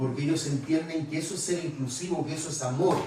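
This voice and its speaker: Over noticeable background noise and audible room echo, a man talks in a fairly high pitch with ordinary pitch variation. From Chile. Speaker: preacher. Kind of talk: sermon. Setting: church retreat conference.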